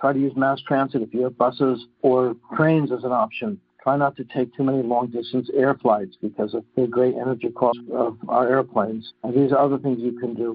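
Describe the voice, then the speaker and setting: It is a plain, everyday voice. The pace is fairly quick. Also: man. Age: 60s. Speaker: physician and climate advocate. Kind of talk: interview.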